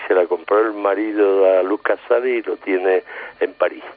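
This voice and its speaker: In an Andalusian accent, a man speaks with a fairly low pitch and ordinary pitch variation. Noticeable background noise can be heard. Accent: Andalusian Spanish (Seville). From Seville, Andalusia. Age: 70s. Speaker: painter and album cover artist. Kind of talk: casual interview. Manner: halting, repeats words.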